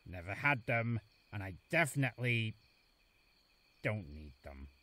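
In a cartoonish character voice, a man speaks at a fairly slow pace with fairly low pitch, a bright, sharp tone and big pitch swings.

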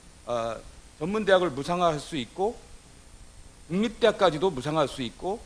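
A man speaks at a fairly quick pace with a fairly high pitch and very wide pitch swings. Light background noise can be heard. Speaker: symposium moderator, professor. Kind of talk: panel discussion moderation. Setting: stage with audience. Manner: formal. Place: hall. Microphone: podium.

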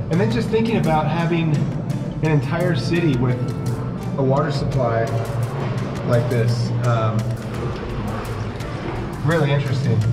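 A man speaks at a moderate pace with long, frequent pauses while loud music plays in the background. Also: ordinary pitch variation. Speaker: pastor on a travel visit. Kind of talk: casual vlog commentary. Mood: awed, reflective. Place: tunnel cave. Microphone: phone near.

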